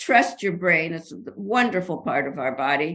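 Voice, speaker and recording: The tone is bright and sharp, the intonation lively, and the pace moderate. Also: woman. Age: 80s+. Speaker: author and researcher. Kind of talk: interview. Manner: animated.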